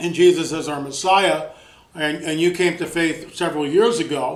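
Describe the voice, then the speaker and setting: With audible room echo and noticeable background noise around him, a man speaks at a moderate pace, his fairly high pitch held in fairly even intonation. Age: 60s. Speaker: radio host. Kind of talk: interview. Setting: radio show.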